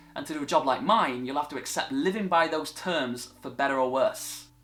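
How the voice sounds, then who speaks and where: Very wide pitch swings at a fairly quick pace, with a northern English accent. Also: man. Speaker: TV presenter. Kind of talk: vlog monologue.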